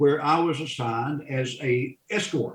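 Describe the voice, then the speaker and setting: This man speaks with a Southern US accent at medium pitch. His pitch variation is ordinary. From US South, central North Carolina. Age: 70s. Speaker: funeral director and Vietnam veteran. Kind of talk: interview conversation. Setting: podcast. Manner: halting, repeats words.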